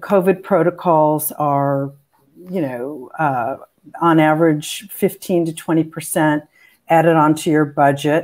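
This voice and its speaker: Against a quiet background, a woman with a very deep, low pitch speaks at a very slow pace with fairly even intonation. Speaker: film producer and panel moderator; panel moderator. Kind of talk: panel discussion. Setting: video call. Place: home room.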